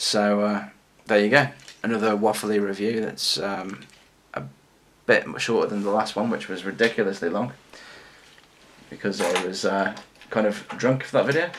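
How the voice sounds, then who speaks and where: A man with an English accent speaks at a fairly low pitch, with long, frequent pauses. Background noise is noticeable. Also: ordinary pitch variation. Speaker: toy collector and reviewer. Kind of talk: casual vlog review. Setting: home video recording, late at night. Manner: fast.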